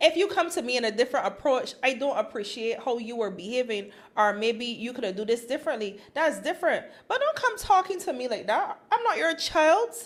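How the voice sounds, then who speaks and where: A woman's animated, high-pitched voice with a Barbadian accent, at a fairly quick pace with very wide pitch swings. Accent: Barbadian (Bajan). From Barbados. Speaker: podcast co-host. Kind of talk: casual chat.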